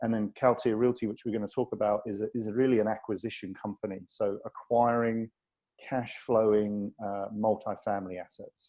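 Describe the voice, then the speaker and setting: A man talks at a fairly quick pace with a British accent. His fairly low voice stays monotone and flat. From Britain. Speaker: real estate investment executive. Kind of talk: webinar presentation.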